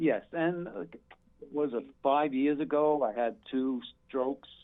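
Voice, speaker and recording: A man's plain, everyday voice, fairly high in pitch, with ordinary pitch variation and a fairly slow pace. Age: 60s. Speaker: retired firefighter and club owner. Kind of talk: interview. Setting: phone call.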